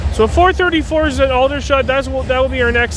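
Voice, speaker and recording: A man with a Canadian accent talks at a fairly quick pace. Audible room echo and noticeable background noise come through. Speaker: railfan vlogger. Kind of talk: casual live commentary. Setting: outdoors trackside. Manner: halting, self-correcting.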